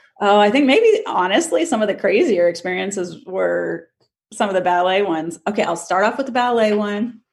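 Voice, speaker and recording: An unremarkable speaking voice, moderately paced, its pitch varying in an ordinary way. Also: woman. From US, moved around as a military child. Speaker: livestock photographer. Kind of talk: casual interview.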